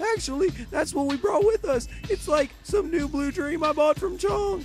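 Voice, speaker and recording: The speaker uses a put-on character voice at a moderate pace. Clear background noise can be heard. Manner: laid-back, rambling.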